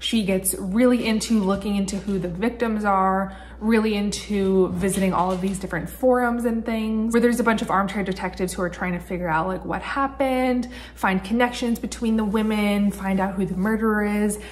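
A woman talks with hardly any pauses and fairly even intonation. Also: fairly quick pace. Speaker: book vlogger. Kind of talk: casual vlog chat. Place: home room. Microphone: phone near.

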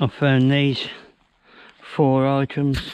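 Against a quiet background, a man talks at a very slow pace. The sound is dry with no echo. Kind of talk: casual vlog chat. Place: forest. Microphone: phone near.

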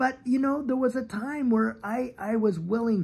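The speaker has an American accent and talks at a moderate pace. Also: man. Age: 50s. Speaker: YouTube channel host. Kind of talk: devotional talk. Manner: animated. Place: garden. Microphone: phone near.

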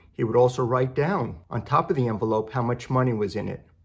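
A man speaks at a medium pitch with vocal fry. His pace is fairly quick, with ordinary pitch variation.

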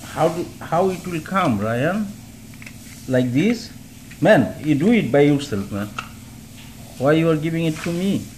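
Over light background noise, the speaker moves at a fairly slow pace with long, frequent pauses. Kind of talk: casual talk to a child. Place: home room. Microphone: phone near.

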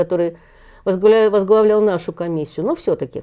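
Over a quiet background, a woman with a dark, mellow tone talks at a fairly quick pace with fairly even intonation. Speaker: journalist and author on history. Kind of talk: interview. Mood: calm, explanatory. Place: studio. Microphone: lapel.

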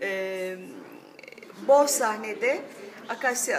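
A woman talks with ordinary pitch variation. Noticeable background noise sits behind her. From Turkey. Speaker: voice actor. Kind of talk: interview answer. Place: cafe.

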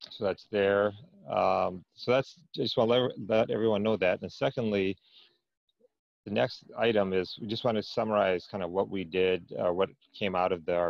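Dry, echo-free sound of a man's fairly low voice, with ordinary pitch variation and a quiet background. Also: moderate pace. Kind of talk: meeting report. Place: home room. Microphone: earbuds.

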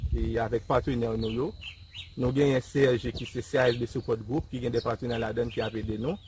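He has an unremarkable speaking voice, pitched in the medium range for a man. His pace is fairly quick, and his pitch varies in an ordinary way. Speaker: pastor and agricultural school director. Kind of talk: interview.

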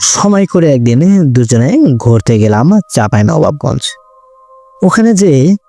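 A man talks at a medium pitch with very wide pitch swings. Music plays in the background. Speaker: radio jockey, horror story narrator. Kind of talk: horror story narration.

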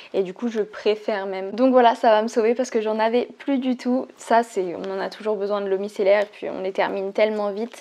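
A woman with a fairly high pitch speaks at a moderate pace with hardly any pauses. Her intonation stays fairly even. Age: 20s. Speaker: beauty YouTuber. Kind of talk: product unboxing video. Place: home room. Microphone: lapel.

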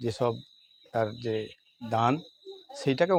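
A man's ordinary speaking voice with an ordinary speaking voice's ordinary pitch variation. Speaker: local party official. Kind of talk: news interview statement.

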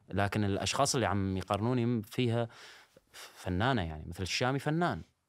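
A man with a Syrian accent, a fairly low pitch and lively intonation, the sound dry with no echo over a quiet background. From Syria, Al-Hasakah. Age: 20s. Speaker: social media personality and singer; podcast guest. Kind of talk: interview. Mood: defensive but calm. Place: studio. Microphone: studio mic.

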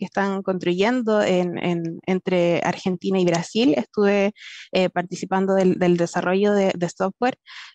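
A woman talks at a moderate pace in a dry sound with no echo. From southern Chile, Temuco; Chile. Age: 20s. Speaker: software engineer. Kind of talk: personal story talk. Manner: halting, many fillers. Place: home room. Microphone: headset.

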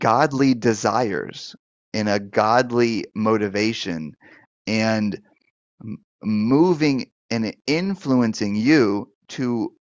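A man at a very slow pace with ordinary pitch variation against a quiet background. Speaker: pastor and deliverance minister. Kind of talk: live-stream Q&A show, pastoral teaching. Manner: conversational, hesitant with fillers. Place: office. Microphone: headset.

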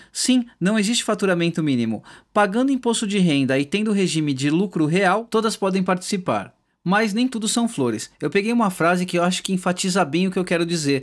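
Recorded very cleanly against a silent background, a man with a high pitch and lively intonation speaks at a fairly quick pace with very even loudness. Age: 30s. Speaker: YouTuber explaining law, music teacher. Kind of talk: explainer video with slides. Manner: casual, informal.

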